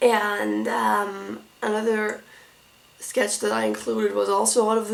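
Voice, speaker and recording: A woman speaks with a German accent at a very slow pace. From Germany. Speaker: art school applicant. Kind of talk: casual tutorial walkthrough. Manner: halting.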